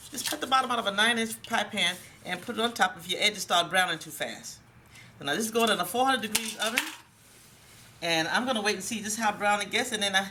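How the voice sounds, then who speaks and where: The speech comes at a very fast pace with ordinary pitch variation. Background noise is noticeable. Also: woman, fairly high pitch for a woman. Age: 60s. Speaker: cooking show host. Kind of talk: cooking tutorial.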